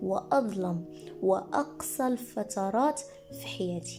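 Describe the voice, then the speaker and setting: A woman with a Moroccan accent speaks as music plays in the background. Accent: Moroccan Arabic (Darija). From Morocco. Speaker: teacher and content creator. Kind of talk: personal podcast storytelling.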